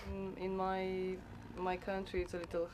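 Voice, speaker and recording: A woman with a Romanian accent speaks at a fairly slow pace. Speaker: farm worker. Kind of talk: interview.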